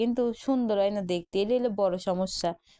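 This woman has a fairly high pitch and a dark, mellow tone. Her pitch varies in an ordinary way. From Bangladesh, Pabna. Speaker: cooking vlogger. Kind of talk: casual cooking vlog chat.

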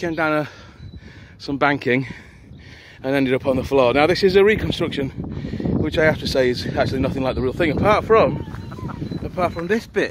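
Recorded dry with no echo but with noticeable background noise, a man talks at a fairly quick pace with ordinary pitch variation. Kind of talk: casual vlog chat. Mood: amused, joking. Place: open country. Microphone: phone near.

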